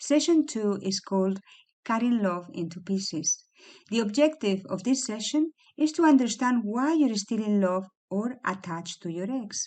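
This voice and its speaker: A woman speaks with a fairly high pitch and lively intonation. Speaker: psychologist. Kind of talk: scripted narration. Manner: dynamic, not too slow.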